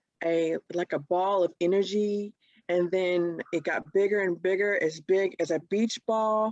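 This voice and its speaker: A woman speaks in a plain, everyday voice at a medium pitch and a fairly slow pace. Her intonation is fairly even, and the sound is dry and close with no echo. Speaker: podcast co-host. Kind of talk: casual chat.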